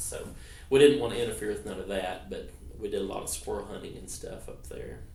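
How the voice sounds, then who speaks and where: Speaking at a fairly quick pace, a man with an Arkansas accent is heard with audible room echo. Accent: Southern US (Arkansas). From Arkansas (Clinton). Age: 50s. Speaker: interviewee, veteran's son. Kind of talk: oral history interview. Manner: hesitant, many fillers.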